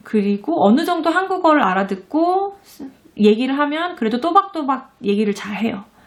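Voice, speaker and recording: A high-pitched woman at a moderate pace, with very wide pitch swings and big swings in loudness. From South Korea. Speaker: parenting and education vlogger, mother. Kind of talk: casual talk to camera. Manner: hesitant, many fillers and restarts.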